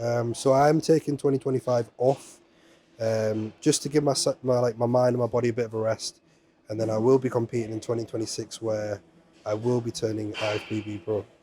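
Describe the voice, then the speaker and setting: Speaking at a fairly quick pace, a man with an English accent has a dark, mellow tone and fairly even intonation. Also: medium pitch for a man. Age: 30s. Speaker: amateur bodybuilder. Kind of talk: interview.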